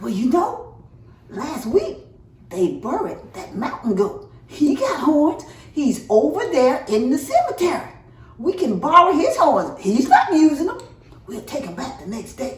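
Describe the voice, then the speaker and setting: In a put-on character voice, the speaker uses a high pitch with very wide pitch swings at a moderate pace, with a slight echo. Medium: read story. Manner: excited, folksy.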